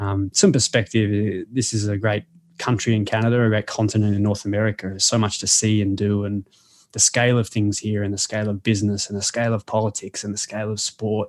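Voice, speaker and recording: Over a quiet background, a man with an Australian accent speaks very fast in a fairly low, monotone, flat voice, the sound dry and close with no echo. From Australia, Melbourne. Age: 30s. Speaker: sports coach and author. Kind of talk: interview conversation. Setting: podcast.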